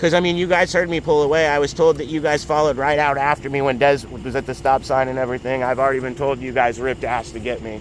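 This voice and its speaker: Delivery runs at a very fast pace with hardly any pauses and fairly even intonation over noticeable background noise. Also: man, fairly high pitch for a man. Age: 30s. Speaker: motorcyclist filming a police stop. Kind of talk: heated argument. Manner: loud.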